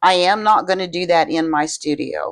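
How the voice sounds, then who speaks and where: A woman with a plain, everyday voice speaks at a moderate pace, her fairly low pitch and fairly even intonation set against a quiet background. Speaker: resin crafter, video creator. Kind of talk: tutorial. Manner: casual.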